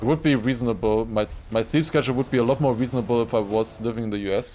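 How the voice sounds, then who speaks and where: With a German accent, a man speaks very fast at a medium pitch and with fairly even intonation. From Germany. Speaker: gaming streamer. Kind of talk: casual live-stream commentary.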